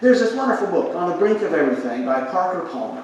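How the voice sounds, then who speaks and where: A man's voice swings very widely in pitch amid noticeable background noise and audible room echo. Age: 60s. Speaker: pastor. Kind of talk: sermon.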